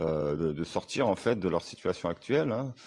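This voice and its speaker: Against a quiet background, a man talks at a fairly slow pace in a very deep, low voice. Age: 40s. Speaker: online sales closer and coach. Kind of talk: testimonial. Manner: halting, many fillers.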